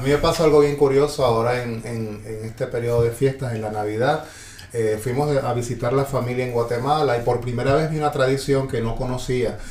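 Amid noticeable background noise and audible room echo, a man talks at a fairly quick pace with fairly even intonation. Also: medium pitch for a man. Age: 40s. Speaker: podcast host. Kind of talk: casual chat.

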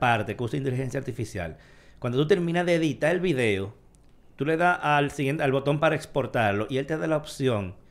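Talking at a very fast pace, a man speaks with lively intonation in a fairly high pitch. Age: 40s. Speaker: tech podcast host. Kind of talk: casual chat.

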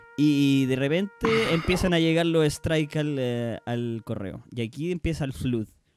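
A man's fairly high voice at a fairly slow pace, ordinary pitch variation, and music in the background. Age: 30s. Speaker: streamer and podcast host. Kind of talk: casual chat.

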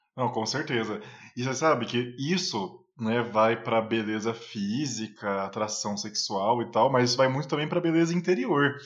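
Pitched in the medium range, a man talks at a moderate pace with ordinary pitch variation. He leaves hardly any pauses. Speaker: podcast co-host. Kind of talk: casual discussion. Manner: emotional.

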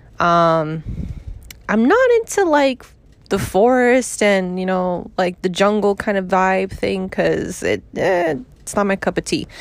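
A woman's very slow, medium-pitched speech in a New York accent, with ordinary pitch variation. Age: 30s. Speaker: podcast host. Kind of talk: casual chat.

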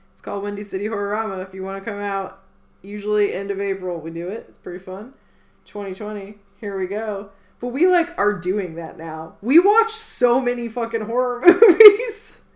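Noticeable background noise accompanies a woman at medium pitch with ordinary pitch variation. Her loudness swings widely. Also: moderate pace. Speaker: podcast co-host. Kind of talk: casual chat.

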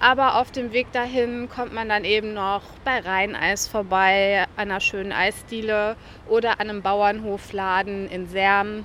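This woman talks at a fairly slow pace with a bright, sharp tone, medium pitch, and fairly even intonation. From western Germany, Ruhr area (Velbert). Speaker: journalist and travel guide author. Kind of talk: interview. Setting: outdoors at a kiosk square.

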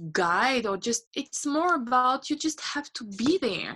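A woman with a French accent speaks in a raised, projected voice at a high pitch and a fairly slow pace. Her tone is bright and sharp, with lively intonation. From France. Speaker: unschooling mother and traveler. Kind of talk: interview conversation. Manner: hesitant, with fillers.

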